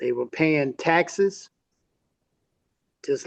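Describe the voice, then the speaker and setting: A man speaks with a Mississippi accent. His pitch is high. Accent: Southern US (Mississippi). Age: 70s. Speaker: civil rights activist's son. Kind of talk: interview.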